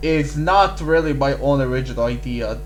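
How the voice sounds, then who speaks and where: A man is heard with audible room echo and music in the background. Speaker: YouTube theory creator. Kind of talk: casual video commentary. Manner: halting with frequent fillers.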